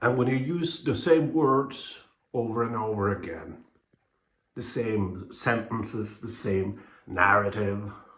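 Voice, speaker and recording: A bright, sharp voice in a Norwegian accent, at a very slow pace with very wide pitch swings and audible room echo. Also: man. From Norway. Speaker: YouTuber, movie commentator. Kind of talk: casual vlog commentary. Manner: hesitant, many fillers and restarts.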